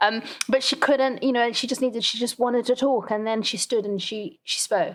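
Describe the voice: Fairly high pitch from a woman, varying in an ordinary way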